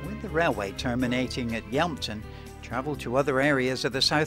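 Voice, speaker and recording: With music behind him, a man talks in a medium pitch. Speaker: documentary narrator. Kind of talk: documentary narration.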